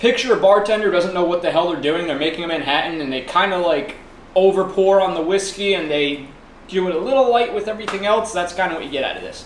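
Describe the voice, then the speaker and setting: Over noticeable background noise and audible room echo, a man talks very fast at a high pitch with ordinary pitch variation. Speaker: whiskey review show host. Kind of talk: casual chat. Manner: stuttering.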